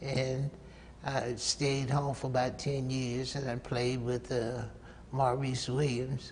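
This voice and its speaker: A man with an American accent speaks very slowly at medium pitch in a monotone, flat way, with noticeable background noise. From US South, North Carolina. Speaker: saxophonist. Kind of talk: interview. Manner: halting.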